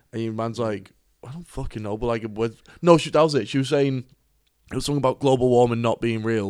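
Here a man speaks in a Cork accent at medium pitch. His pace is very fast, with ordinary pitch variation. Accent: Cork Irish. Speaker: podcast co-host. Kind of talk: casual chat.

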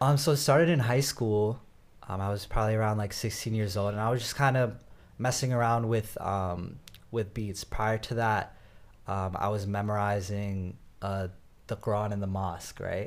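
Speaking at a moderate pace, a man with an American accent uses an ordinary speaking voice, fairly low in pitch, with ordinary pitch variation. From US, Northern Virginia. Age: 20s. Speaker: rapper. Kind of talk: interview.

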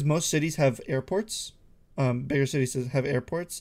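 Speaking at a fairly quick pace with an American accent, a man uses an ordinary speaking voice at a fairly high pitch, in a very clean recording with a silent background. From Ohio. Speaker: podcast co-host. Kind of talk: casual chat.

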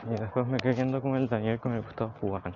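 The man's very fast speech comes through noticeable background noise. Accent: Chilean. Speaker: personal diarist. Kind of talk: personal audio diary. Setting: outdoors, walking home.

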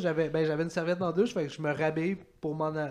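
A man speaks in an animated tone with a Quebec accent. His voice is high-pitched. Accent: Québécois French. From Quebec, Saint-Hyacinthe. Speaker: comedian. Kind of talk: casual chat.

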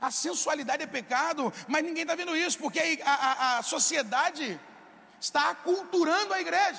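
Over noticeable background noise, a man with an extremely high pitch speaks in a raised, projected voice with lively intonation at a moderate pace. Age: 20s. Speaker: pastor. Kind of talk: sermon.

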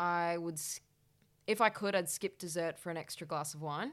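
On a very clean recording with a silent background, a woman with an Australian accent speaks at a fairly low pitch. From Western Australia, Perth. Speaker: cooking show contestant and creative director. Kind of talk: casual interview. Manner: animated.

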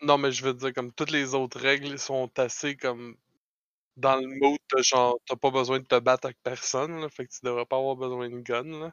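In a Quebec accent, a man talks at a moderate pace and medium pitch with monotone, flat intonation. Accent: Québécois French. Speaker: podcast host. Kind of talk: casual chat.

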